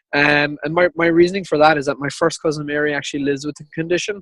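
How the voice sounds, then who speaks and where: A man with an Irish accent speaks at a fairly high pitch with monotone, flat intonation. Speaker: ultrarunner. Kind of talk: interview.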